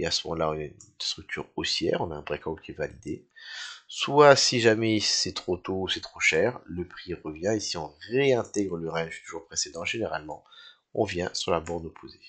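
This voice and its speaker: A man speaks at a fairly slow pace. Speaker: crypto trading analyst. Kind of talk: tutorial. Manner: halting.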